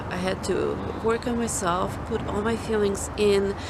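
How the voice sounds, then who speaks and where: A woman speaks at a fairly slow pace. Noticeable background noise and audible room echo are present. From Ukraine. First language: Ukrainian or Russian. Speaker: author and ministry founder. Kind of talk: personal testimony. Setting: outdoors in a park.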